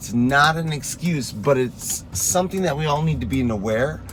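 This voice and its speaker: A man speaks at a moderate pace with very wide pitch swings. Room echo is audible, and the background noise is noticeable. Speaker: fitness coach. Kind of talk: motivational talk. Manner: early morning voice.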